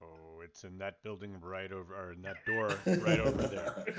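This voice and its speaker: A put-on character voice at a moderate pace, with fairly even intonation and big swings in loudness. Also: man, very deep, low pitch for a man. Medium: actual play.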